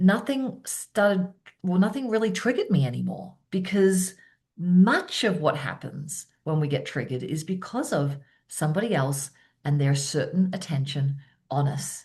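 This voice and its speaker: Over a quiet background, a somewhat breathy woman with an Australian accent speaks at a medium pitch with very wide pitch swings. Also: moderate pace. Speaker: keynote speaker and presence coach. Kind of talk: interview conversation.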